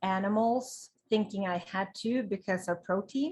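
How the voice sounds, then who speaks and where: In a Swedish accent, a woman talks at a very slow pace, her medium-pitched voice somewhat breathy and showing ordinary pitch variation. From Sweden. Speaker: vegan lifestyle blogger. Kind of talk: interview. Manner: animated.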